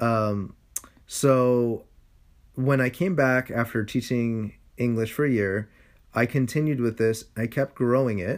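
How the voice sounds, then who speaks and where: In a very clean recording with a silent background, a man at medium pitch talks at a fairly slow pace, his intonation fairly even and his loudness very even, with long, frequent pauses. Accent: Californian. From San Francisco, Sunset district. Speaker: podcast co-host. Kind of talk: casual chat.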